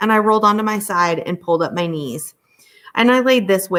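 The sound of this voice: In a quiet setting, someone reads in an unforced voice whose pitch varies in an ordinary way.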